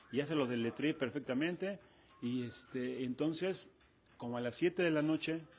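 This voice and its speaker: A man speaks in a fairly high voice. His pace is moderate and his pitch varies in an ordinary way. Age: 60s. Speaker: retired football goalkeeper. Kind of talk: interview.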